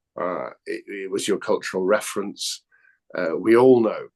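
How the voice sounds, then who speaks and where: Here is a man speaking with an English accent. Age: 60s. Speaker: actor. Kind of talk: casual chat.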